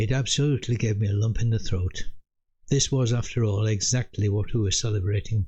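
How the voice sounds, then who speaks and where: At a moderate pace, a man with a medium pitch speaks in a dark, mellow tone that is somewhat breathy. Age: 80s+. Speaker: military veteran storyteller. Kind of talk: personal storytelling.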